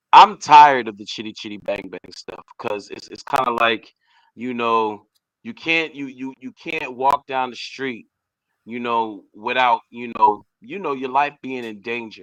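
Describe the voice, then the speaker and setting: Dry and close with no echo, a man with an American accent and a plain, everyday voice speaks at a medium pitch and a fairly slow pace, with ordinary pitch variation. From Boston, Massachusetts. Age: 30s. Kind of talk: casual interview.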